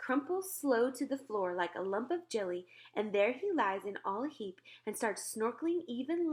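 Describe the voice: Someone reads aloud plainly. Their intonation rises and falls with liveliness.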